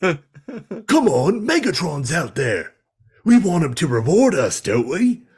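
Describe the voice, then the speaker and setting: In a put-on character voice with a Cockney accent, a man growls out gruff, high-pitched lines at a fairly slow pace, his pitch swinging very widely. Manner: deliberately bad, gruff action-man imitation.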